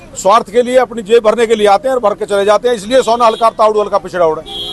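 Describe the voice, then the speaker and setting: Recorded with a dry, close sound and no echo, a high-pitched man talks with fairly even intonation over noticeable background noise. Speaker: local party worker and wrestler. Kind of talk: campaign interview.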